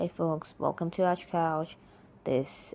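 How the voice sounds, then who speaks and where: A woman with a non-native accent speaks in a dark, mellow tone. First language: not English. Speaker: solo podcaster. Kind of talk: casual monologue. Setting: alone on a mic. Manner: slow; halting, with pauses.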